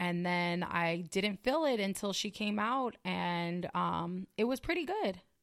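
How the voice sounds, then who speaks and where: A woman speaks in a normal speaking voice at a medium pitch and a fairly slow pace. Her loudness stays very even, and her pitch varies in an ordinary way. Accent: American. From California. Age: 30s. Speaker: podcast co-host. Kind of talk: casual chat.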